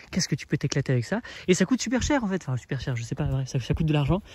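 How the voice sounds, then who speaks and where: Animated in tone, a man speaks at a very fast pace. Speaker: permaculture gardener and video creator. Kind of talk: casual garden vlog talk. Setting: outdoors in garden.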